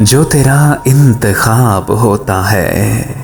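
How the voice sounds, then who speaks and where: A man talks with ordinary pitch variation while music plays behind him. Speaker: radio jockey, voice-over artist. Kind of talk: poetry reading. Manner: emotional, sad.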